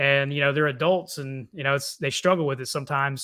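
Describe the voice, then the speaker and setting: With an American accent, a man speaks in a fairly high pitch, his tone bright and sharp and his intonation fairly even. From Texas, Cajun family from South Louisiana. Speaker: faith-based life coach. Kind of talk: podcast interview. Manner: hesitant, many fillers.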